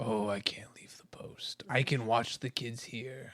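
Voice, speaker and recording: A man speaks in a put-on character voice at medium pitch, with fairly even intonation. His pace is fairly slow and his loudness swings widely. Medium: actual play. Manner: hesitant, easily pushed around.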